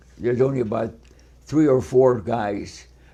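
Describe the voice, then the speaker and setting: A man speaks at a medium pitch in a dark, mellow tone touched by vocal fry. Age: 80s+. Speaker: war veteran; inventor and author. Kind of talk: interview answer. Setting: kitchen.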